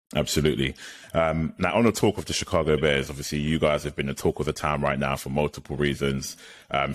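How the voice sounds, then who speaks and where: A man's very deep, low voice at a very fast pace, fairly even in intonation, over noticeable background noise. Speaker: podcast host. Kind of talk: podcast interview questions.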